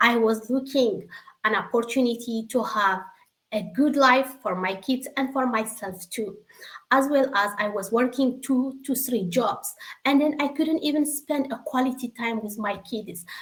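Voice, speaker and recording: At a fairly slow pace, a high-pitched woman with an Eritrean accent speaks with ordinary pitch variation. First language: Tigrinya. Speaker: secretary and online business member. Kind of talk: testimony. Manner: emotional.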